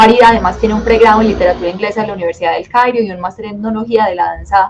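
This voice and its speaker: A woman talks with fairly even intonation. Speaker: dance teacher. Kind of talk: webinar lecture. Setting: live online webinar. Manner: fast.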